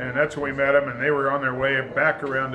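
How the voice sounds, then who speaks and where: In an American accent, a man with a fairly high pitch speaks amid audible room echo and noticeable background noise. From Kansas. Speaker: sailboat owner. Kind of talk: interview.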